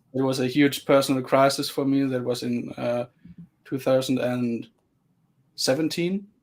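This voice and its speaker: Over a silent background on a very clean recording, a man of medium pitch talks at a moderate pace with fairly even intonation and long, frequent pauses. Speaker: metal guitarist and sound engineer. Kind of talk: casual interview. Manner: soft-spoken; halting.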